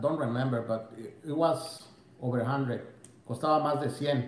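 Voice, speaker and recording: A man is speaking. Audible echo fills the room. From Mexico. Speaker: fishing YouTuber; fishing channel host. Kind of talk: bilingual live stream, casual chat. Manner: switches between Spanish and English. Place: home room. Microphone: phone near.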